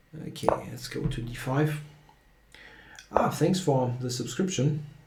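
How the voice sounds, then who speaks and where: This man talks with a fairly high pitch and ordinary pitch variation, at a fairly slow pace. Audible room echo and noticeable background noise come through. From Germany. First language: German. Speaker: chess streamer. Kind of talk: live stream commentary and chat. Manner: hesitant, many fillers.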